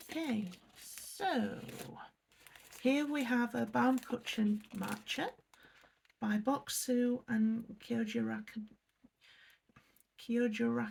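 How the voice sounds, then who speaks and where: Speaking with an English accent, a woman uses a fairly high pitch and ordinary pitch variation at a very slow pace, leaving long, frequent pauses. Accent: English accent, noticeable. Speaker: unboxing youtuber. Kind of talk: casual unboxing review. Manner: hesitant, many fillers.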